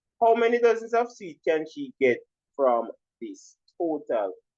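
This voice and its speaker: The man's pitch swings very widely. His delivery is fairly slow. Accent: Jamaican. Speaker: primary school teacher. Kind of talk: tutorial.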